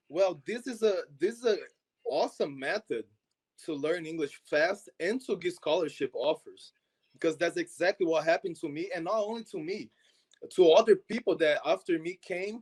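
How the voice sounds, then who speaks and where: In a Portuguese accent, a man with a high pitch talks at a moderate pace with ordinary pitch variation, his dry, close sound carrying no echo on a very clean recording with a silent background. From Brazil, Minas Gerais. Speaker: soccer exchange program founder. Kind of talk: interview.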